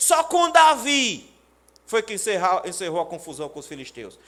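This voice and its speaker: Very wide pitch swings mark the speech of a man with a Paraíba accent. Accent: northeastern Brazilian (Paraíba). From Brazil, Paraíba (Pombal, Sertão). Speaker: pastor. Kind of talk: sermon. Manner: animated.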